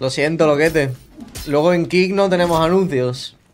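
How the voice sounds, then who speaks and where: A man's voice with ordinary pitch variation. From Spain. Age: 20s. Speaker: game streamer. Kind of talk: casual gameplay commentary. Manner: animated. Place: home room.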